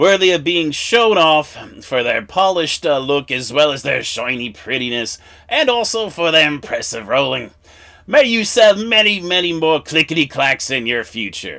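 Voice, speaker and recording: A man puts on a character voice at a fairly high pitch, talking at a moderate pace. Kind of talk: humorous product review in character.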